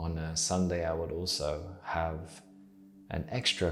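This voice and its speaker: A man mumbles in a very deep, low voice with a British accent, with audible room echo and music in the background. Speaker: artist and YouTuber. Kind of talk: casual vlog advice. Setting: home art studio. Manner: hesitant, many fillers; mumbling.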